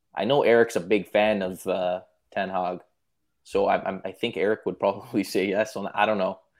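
Here a man has an unremarkable speaking voice, fairly low in pitch, with fairly even intonation at a moderate pace. The recording is very clean, with a silent background. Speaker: football podcast panelist. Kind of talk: casual chat. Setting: live stream.

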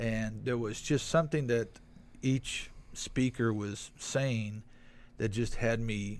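Intonation fairly even, a man talks at a very slow pace. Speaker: guest. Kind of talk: casual chat.

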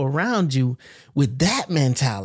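A man at a moderate pace in an unremarkable speaking voice. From US South, Florida Panhandle. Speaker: podcast host. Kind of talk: casual chat.

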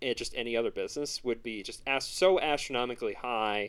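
Over a very clean recording with a silent background, a man talks at a fairly quick pace with ordinary pitch variation. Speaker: podcast host. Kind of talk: casual chat.

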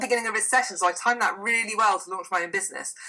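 A woman speaks over noticeable background noise. Her pitch moves in an ordinary way. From Cardiff, Wales. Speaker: wellbeing coach. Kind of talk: casual interview. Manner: fast talker.

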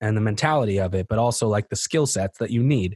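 Talking at a very fast pace, a man uses a fairly low, somewhat breathy voice with ordinary pitch variation. The recording is very clean, dry and close, with no echo and a silent background. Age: 30s. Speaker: rapper and poet. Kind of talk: casual chat.

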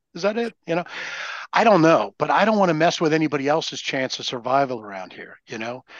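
Swinging very widely in pitch, a man with a fairly high voice talks at a very fast pace. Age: 60s. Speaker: recovering alcoholic sharing experience. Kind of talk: casual chat.

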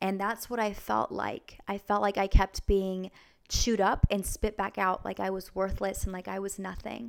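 A woman's medium-pitched voice in an American accent, moderate in pace, monotone and flat, with big swings in loudness. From US Pacific Northwest, Vancouver, Washington. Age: 20s. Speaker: former stripper turned church minister. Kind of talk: testimony.

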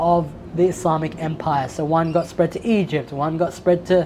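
A woman at a fairly low pitch and moderate pace, in an Australian accent, with noticeable background noise. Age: 30s. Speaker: aspiring Islamic scholar. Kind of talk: casual chat. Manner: articulate.

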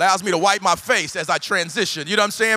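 A man's high, bright and sharp voice, raised and projected, in an animated tone at a very fast pace. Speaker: pastor. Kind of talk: energetic guest sermon to a live megachurch congregation. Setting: church stage with live audience. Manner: very fast, rapid-fire preaching; animated, rising exhortation with repetitive punchy phrasing.

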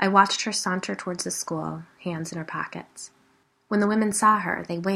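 Someone reads aloud in a natural voice. The pitch rises and falls by ordinary amounts.

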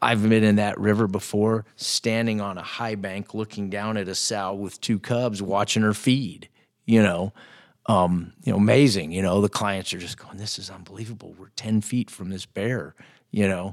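A man speaks at a moderate pace with fairly low pitch and fairly even intonation, in an ordinary speaking voice. The recording is very clean, with a silent background. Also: big swings in loudness. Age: 50s. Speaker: bush pilot and hunting guide. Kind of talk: casual chat. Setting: in person.

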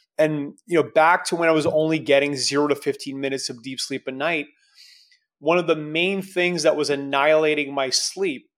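The man has an unremarkable speaking voice with a fairly high pitch. He talks at a moderate pace on a very clean recording with a silent background. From Canada. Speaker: entrepreneur and strength coach. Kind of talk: casual interview.

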